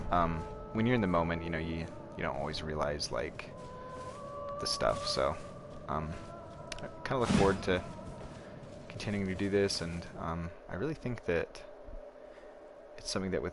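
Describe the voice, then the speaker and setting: A man at a moderate pace with long, frequent pauses, music in the background. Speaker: gaming streamer. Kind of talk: live gameplay commentary. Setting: home, roommate nearby.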